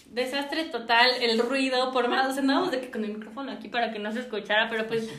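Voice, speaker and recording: Speech comes at a very fast pace with hardly any pauses and fairly even intonation, amid noticeable background noise and audible room echo. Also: woman, high pitch for a woman. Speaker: podcast co-host. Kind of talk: casual chat.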